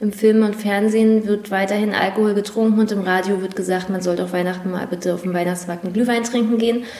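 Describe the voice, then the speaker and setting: A woman talks at a very fast pace in a monotone, flat delivery, with audible room echo and noticeable background noise. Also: medium pitch for a woman, hardly any pauses. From northeastern Germany, Prignitz/Mecklenburg area. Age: 20s. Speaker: nurse. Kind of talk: interview. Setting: studio.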